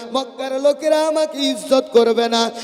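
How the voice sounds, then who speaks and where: Against noticeable background noise, a man talks with fairly even intonation. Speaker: Islamic preacher. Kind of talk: sermon.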